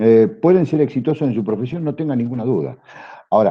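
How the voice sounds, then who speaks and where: With very wide pitch swings, a man talks at a very fast pace. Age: 60s. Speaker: customs broker. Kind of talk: panel talk to students. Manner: hesitant fillers.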